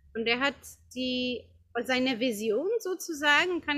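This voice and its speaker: Raising and projecting her voice, a woman speaks at a high pitch and a fairly slow pace with lively intonation. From Czech Republic, Prague. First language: Czech (speaking German). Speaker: yoga teacher. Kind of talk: interview. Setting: outdoor garden. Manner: halting.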